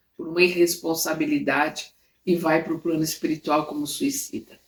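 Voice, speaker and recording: A woman speaks with very wide pitch swings. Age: 70s. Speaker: spiritist study teacher. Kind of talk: lecture. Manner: halting with repetitions.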